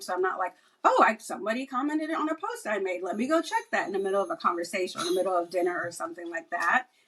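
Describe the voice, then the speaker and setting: A woman speaks with lively intonation. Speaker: cybersecurity professional. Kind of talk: podcast interview. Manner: fast; casual.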